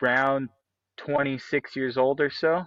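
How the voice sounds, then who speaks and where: Set against a quiet background, a man with a Canadian accent speaks fairly slowly in a bright, sharp tone and a flat monotone. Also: dry, close sound with no echo. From British Columbia, Canada. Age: 30s. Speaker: MMA fighter. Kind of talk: interview.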